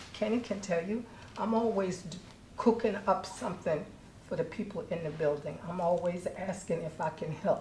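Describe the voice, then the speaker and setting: In a room with audible echo, a woman speaks at a medium pitch and moderate pace with ordinary pitch variation. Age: 70s. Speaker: public housing resident making a complaint. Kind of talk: public comment at a board meeting. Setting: public board meeting.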